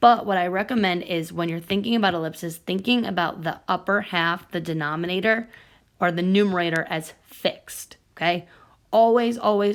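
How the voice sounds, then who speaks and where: An ordinary speaking voice from a woman, fairly low in pitch with ordinary pitch variation, on a very clean recording with a silent background. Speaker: math teacher. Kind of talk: tutorial.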